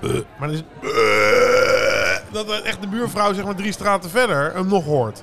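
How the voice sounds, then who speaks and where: With hardly any pauses, a man speaks at a fairly slow pace against noticeable background noise. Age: 40s. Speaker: podcast co-host. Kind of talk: casual chat.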